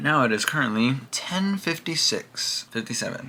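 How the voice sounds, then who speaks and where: A man with a normal speaking voice at a moderate pace, his pitch varying in an ordinary way. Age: 20s. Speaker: vlogger. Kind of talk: personal video diary. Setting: at home.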